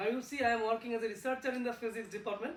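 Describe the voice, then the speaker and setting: Noticeable background noise accompanies a voice with an Indian accent. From India, village near Kolkata. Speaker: physics researcher. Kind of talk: talk to schoolchildren. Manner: slow, simple phrasing for kids.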